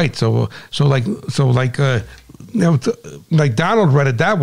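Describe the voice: Someone reads the text aloud in a plain manner.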